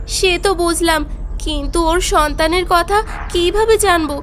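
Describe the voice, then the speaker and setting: A woman's put-on character voice, shaky and extremely high, at a fairly slow pace over clear background noise. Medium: audio drama. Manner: shaky, stammering.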